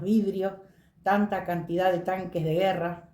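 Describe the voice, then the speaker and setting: A woman speaks with a dark, mellow tone and fairly even intonation. Audible room echo fills the recording. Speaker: witness sharing memories. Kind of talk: testimony.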